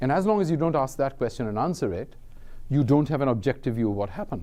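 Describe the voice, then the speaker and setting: Against a quiet background, a man of medium pitch talks at a very fast pace in a dark, mellow tone with very wide pitch swings. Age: 60s. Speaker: professor. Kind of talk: lecture.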